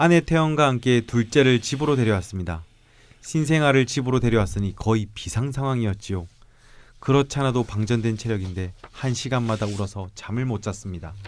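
In a normal speaking voice, a man talks fairly quickly at a medium pitch with ordinary pitch variation. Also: very clean recording, silent background. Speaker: podcast co-host. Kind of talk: reading aloud.

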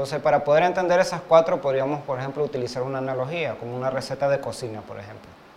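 A man at medium pitch, with ordinary pitch variation. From Uruguay, Montevideo. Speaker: web developer. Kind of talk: interview. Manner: hesitant, many fillers.

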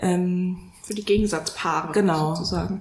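A woman's fairly even intonation with audible room echo. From Frankfurt area, Hesse. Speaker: wedding celebrant. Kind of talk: casual chat.

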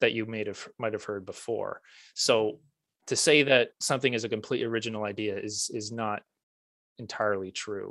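Here a man has a plain, everyday voice at a medium pitch and fairly even intonation, recorded very cleanly with a silent background. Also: fairly quick pace. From Prince Edward Island, Canada. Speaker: music teacher and author. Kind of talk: casual interview chat.

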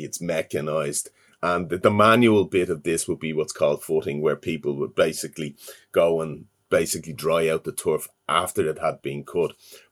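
A man with a Dublin accent, at a moderate pace with ordinary pitch variation. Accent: Dublin Irish. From Ireland, Dublin. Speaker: university lecturer in environmental science. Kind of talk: interview. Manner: halting, frequent fillers and repetitions.

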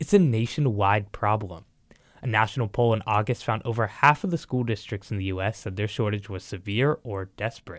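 A man talks in an ordinary speaking voice at a fairly quick pace, medium in pitch with ordinary pitch variation. The recording is very clean with a silent background. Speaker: news reporter. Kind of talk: news reporting.

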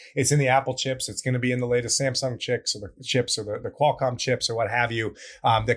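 Here a man talks at a very fast pace with a medium pitch and fairly even intonation. His voice is somewhat breathy, on a very clean recording with a silent background. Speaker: podcast co-host, security researcher. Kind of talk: casual chat.

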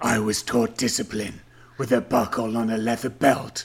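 Putting on a character voice, a man speaks at a moderate pace in a raspy, sinister, menacing tone, medium in pitch with monotone, flat intonation.

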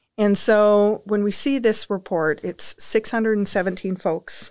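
A woman with a western Canadian accent on a very clean recording with a silent background. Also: dry, close sound with no echo. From Saskatchewan, Canada. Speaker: education researcher. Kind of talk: interview.

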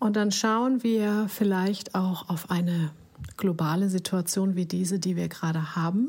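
Somewhat breathy, a woman speaks at a medium pitch with ordinary pitch variation and very even loudness. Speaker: podcast host, life coach. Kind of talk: reflective monologue.

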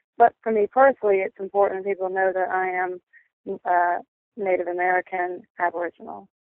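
A woman talks at a fairly quick pace with fairly even intonation. She has an ordinary speaking voice. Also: medium pitch for a woman. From North Carolina, US. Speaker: musician. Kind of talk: interview. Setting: phone call.

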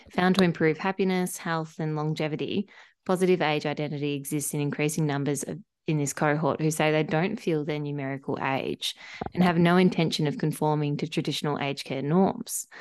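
A woman with an Australian accent speaks at a fairly quick pace in a very deep, low voice, her intonation fairly even against a quiet background. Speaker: podcast host. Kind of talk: interview.

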